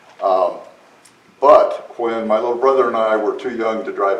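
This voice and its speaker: A man with an American accent speaks at a moderate pace, with audible room echo and noticeable background noise. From US Midwest, South Dakota. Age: 70s. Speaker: woodturning demonstrator. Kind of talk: club demonstration talk. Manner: halting, many fillers.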